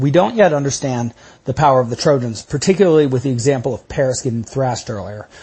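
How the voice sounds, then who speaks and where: Somewhat breathy, a man with an American accent speaks at a very fast pace and a medium pitch with ordinary pitch variation. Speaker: podcast host and lecturer on classics. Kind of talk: lecture. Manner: conversational, with filler words.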